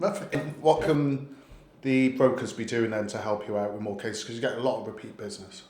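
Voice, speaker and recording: Over noticeable background noise, a man with a medium pitch talks fairly quickly with lively intonation and big swings in loudness. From Wales. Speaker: lender sales host. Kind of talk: casual chat.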